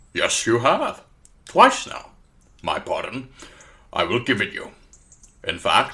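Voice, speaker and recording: At a fairly slow pace, a man performs a put-on character voice. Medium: audio drama. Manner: precise, wry, grandly teasing.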